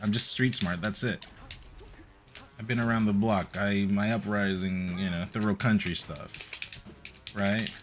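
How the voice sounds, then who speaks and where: Music in the background behind a man's fairly low voice, moderate in pace, with ordinary pitch variation. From Nicaragua. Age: 20s. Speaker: gaming streamer. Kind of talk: casual live-stream chat. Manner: casual, rambling.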